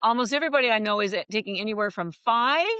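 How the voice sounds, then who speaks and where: Her tone animated, a woman speaks at a fairly quick pace in a fairly high pitch. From Canada. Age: 60s. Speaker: health food company founder. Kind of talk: interview.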